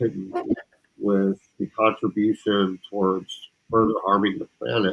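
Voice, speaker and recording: A man is speaking here. His pitch sits fairly low. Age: 50s. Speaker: community participant sharing personal story. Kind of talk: personal testimony.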